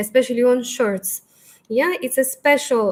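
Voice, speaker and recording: Speaking with a non-native accent, a woman uses a high-pitched voice. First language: not English. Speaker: fashion stylist. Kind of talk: live Q&A. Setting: livestream. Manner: halting.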